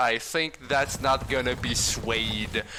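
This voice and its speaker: A man with a French accent talks over noticeable background noise. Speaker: charity stream host. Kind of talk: casual chat. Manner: stuttering at times.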